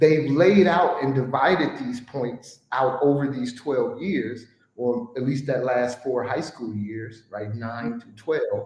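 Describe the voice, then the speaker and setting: A man's medium-pitched voice with a Chicago accent, very slow delivery, ordinary pitch variation and hardly any pauses. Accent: Chicago American English. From US Midwest, Chicago. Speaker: guest sharing life story. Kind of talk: podcast conversation.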